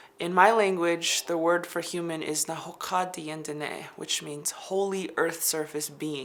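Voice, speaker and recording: A woman speaks fairly slowly at a fairly low pitch, with hardly any pauses and fairly even intonation. Noticeable background noise runs behind her. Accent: American. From Navajo Nation, US Southwest. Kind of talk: interview talk.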